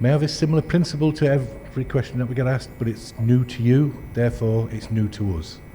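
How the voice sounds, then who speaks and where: The speech races along at a very fast pace with hardly any pauses and ordinary pitch variation, over noticeable background noise. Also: man, medium pitch for a man. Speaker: endoscopy trainer. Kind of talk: lecture. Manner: fast when excited; animated.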